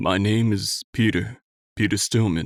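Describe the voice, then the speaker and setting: A man uses a put-on character voice at a fairly low pitch with fairly even intonation. He goes at a fairly slow pace in a very clean recording with a silent background. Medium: read story. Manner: weary, rueful.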